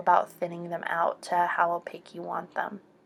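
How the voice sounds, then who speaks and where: Soft-spoken, a woman with a fairly low pitch talks in a relaxed tone. Music plays in the background. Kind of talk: soft-spoken makeup tutorial to camera. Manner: soft-spoken, relaxed.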